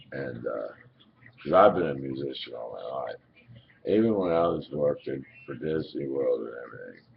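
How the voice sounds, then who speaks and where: A man talks at a moderate pace with big swings in loudness over noticeable background noise. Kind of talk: casual webcam monologue.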